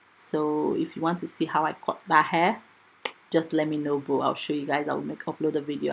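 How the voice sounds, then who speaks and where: With noticeable background noise, a woman speaks fairly quickly in a very deep, low voice. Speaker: hair stylist and wig maker. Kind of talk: tutorial. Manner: fast.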